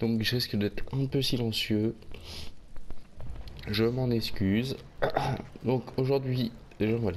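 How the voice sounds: A man's medium-pitched voice with ordinary pitch variation and long, frequent pauses. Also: slightly mellow tone.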